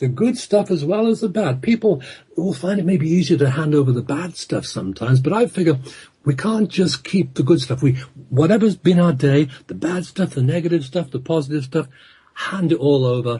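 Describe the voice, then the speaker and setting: A man with an English accent, fairly high in pitch, at a fairly quick pace with lively intonation. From England. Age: 60s. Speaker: hypnotherapist and author. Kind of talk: radio interview.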